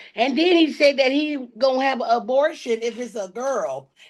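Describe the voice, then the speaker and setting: A woman speaks loudly at a high pitch. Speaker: podcast co-host. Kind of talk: casual chat. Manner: animated.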